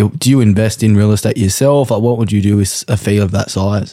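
A dark, mellow tone with an Australian accent comes through a very clean recording with a silent background. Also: man. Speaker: podcast host. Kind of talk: casual comedic interview. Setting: hot house in Sydney, filmed.

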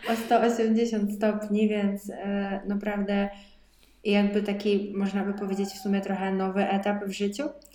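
A woman speaks at a medium pitch in a flat, monotone delivery, at a fairly slow pace. The room has audible echo and there is noticeable background noise. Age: 20s. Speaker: podcast co-host, dietitian. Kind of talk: casual chat.

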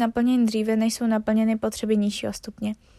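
On a very clean recording with a silent background, a woman with a high pitch and a dark, mellow tone talks at a moderate pace, the sound dry and close with no echo. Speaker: podcast host explaining psychology. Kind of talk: casual chat; educational reading of study notes. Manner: stumbling over words, self-correcting.

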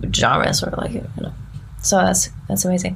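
Noticeable background noise fills the recording. Through it, a woman speaks fairly quickly. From southern Germany near Frankfurt. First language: German. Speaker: musician. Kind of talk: casual interview chat. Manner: halting.

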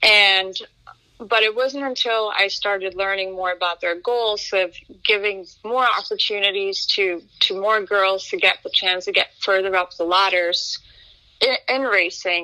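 In a Norwegian accent, a woman speaks fairly slowly at a medium pitch with fairly even intonation. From Norway, town outside Oslo. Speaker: racing driver. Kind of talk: interview. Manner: halting, frequent repetitions.

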